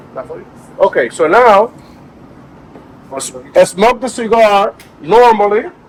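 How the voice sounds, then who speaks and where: A man with a Dominican accent speaks in a high pitch with ordinary pitch variation. His pace is fairly slow, with long, frequent pauses. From Dominican Republic. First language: Spanish. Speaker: cigar maker presenting at a tasting event. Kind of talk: live tasting presentation to an audience. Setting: cigar lounge event with audience.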